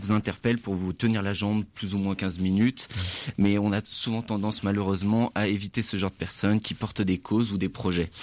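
A man talks at a fairly quick pace in a fairly low pitch. His intonation is flat and monotone. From France, Saint-Étienne. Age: 20s. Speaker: student charity volunteer. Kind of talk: radio interview.

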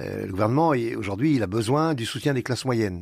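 On a very clean recording with a silent background, the words come very fast and the intonation is lively. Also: man. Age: 70s. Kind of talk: radio interview. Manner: halting, with many repetitions.

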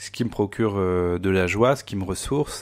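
Ordinary pitch variation from a man, captured in a very clean recording against a silent background. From France, Vendée. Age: 30s. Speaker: university communications director. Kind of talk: interview testimony. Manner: halting, many hesitations.

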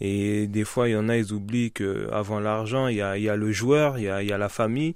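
A man's fairly low-pitched, ordinary speaking voice with fairly even intonation, in a very clean recording over a silent background. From Paris region, France. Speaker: professional footballer. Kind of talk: radio interview. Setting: studio.

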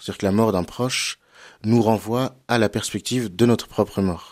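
In a normal speaking voice, a man talks at a moderate pace and fairly low pitch, the sound dry and close with no echo. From western France (Cholet, Anjou). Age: 30s. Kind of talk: radio interview on theology.

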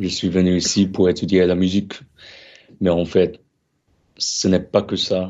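His pitch is very deep and low. The man talks at a fairly slow pace. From Australia, Korean heritage. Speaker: flutist, music student. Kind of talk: radio interview. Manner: hesitant, many fillers.

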